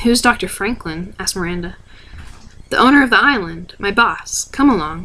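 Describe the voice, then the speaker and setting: A woman with a bright, sharp tone speaks with lively intonation. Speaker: ASMR reader. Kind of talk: read story. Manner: fast.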